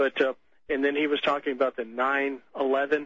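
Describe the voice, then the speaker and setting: A fairly high-pitched man with an American accent, monotone and flat, at a fairly slow pace. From Texas. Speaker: caller, store worker. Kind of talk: phone-in call. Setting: phone call.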